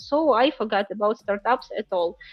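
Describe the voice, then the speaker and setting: A woman's fairly high voice with a Ukrainian accent, at a fairly slow pace. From Ukraine. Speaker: startup founder. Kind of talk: interview. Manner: halting, many fillers.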